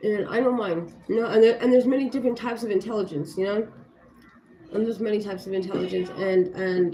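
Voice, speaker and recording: In an American accent, a woman speaks at a fairly quick pace with an animated tone. Her medium pitch shows ordinary variation, and the room echo is audible. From Los Angeles, California. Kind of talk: casual live stream chat. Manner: fast.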